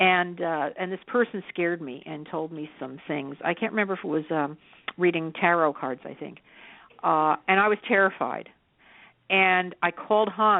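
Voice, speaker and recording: This woman has an ordinary speaking voice with an American accent and a fairly low pitch. She talks at a moderate pace with ordinary pitch variation. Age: 60s. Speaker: psychic medium. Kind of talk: radio interview.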